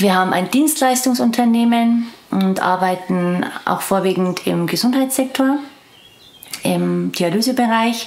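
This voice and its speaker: A woman talks at a fairly slow pace, her loudness very even and her pitch varying in an ordinary way. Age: 40s. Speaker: interviewee telling her story. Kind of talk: interview answer. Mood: serious, reflective, worried. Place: garden.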